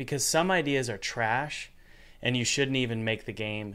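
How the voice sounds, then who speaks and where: A plain, everyday voice with an American accent talks at a moderate pace. The recording is very clean, with a silent background. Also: man. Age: 30s. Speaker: podcast host and game developer. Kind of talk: casual chat.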